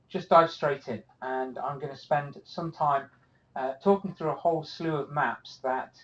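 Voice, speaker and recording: Here a man speaks with an American accent at a fairly slow pace. His pitch is fairly high, with ordinary pitch variation. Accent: British, noticeable to US audience. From UK. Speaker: cartography instructor. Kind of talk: live webinar presentation. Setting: office, online webinar. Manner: casual, many filler words.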